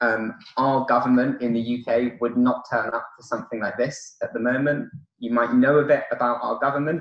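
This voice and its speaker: A man with a British accent, medium in pitch, in a monotone, flat intonation at a fairly quick pace. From United Kingdom. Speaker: conference keynote speaker. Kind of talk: conference talk. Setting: conference hall with audience. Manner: hesitant, many fillers.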